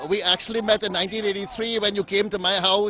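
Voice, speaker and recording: Noticeable background noise sits behind a man talking at a very fast pace. His voice is high-pitched with fairly even intonation. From Guyana. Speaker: cricket fan at match. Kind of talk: casual interview.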